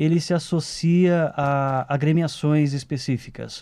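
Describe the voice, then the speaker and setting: A man's dark, mellow tone is heard against a quiet background. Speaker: radio program host interviewer. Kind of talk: radio interview questions. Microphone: old recording.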